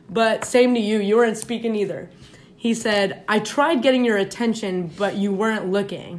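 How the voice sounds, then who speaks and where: Here is a normal speaking voice from a woman, fairly high in pitch. She uses ordinary pitch variation at a moderate pace. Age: 20s. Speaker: podcast guest sharing dating stories. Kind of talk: reading aloud. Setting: in a room, far from recording device. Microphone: far from the mic, uneven volume.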